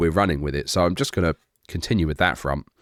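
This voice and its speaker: A man with a British accent and a very deep, low pitch is heard in a very clean recording with a silent background. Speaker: gaming YouTuber. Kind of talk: casual update to supporters. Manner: casual, hesitant with fillers.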